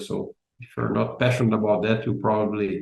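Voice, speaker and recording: The voice has a dark, mellow tone with vocal fry. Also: man. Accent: Brazilian. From Brazil. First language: Portuguese. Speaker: business analysis expert and content creator. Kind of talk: interview. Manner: halting, many repeated words.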